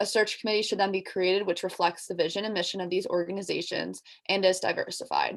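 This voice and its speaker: Very fast speech from a woman at medium pitch, with fairly even intonation. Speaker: student athlete. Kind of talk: presentation.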